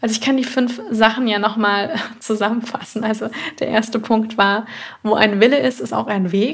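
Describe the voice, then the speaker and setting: A somewhat breathy woman's voice with a warm tone and a fairly high pitch, in a monotone, flat intonation at a fairly slow pace. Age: 20s. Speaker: nutrition therapist and podcast host. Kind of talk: solo podcast monologue. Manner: warm, conversational.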